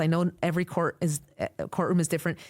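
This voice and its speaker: Recorded very cleanly against a silent background, a woman with a fairly low pitch sounds dry and close with no echo. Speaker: court interpreter. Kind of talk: interview conversation. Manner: fast.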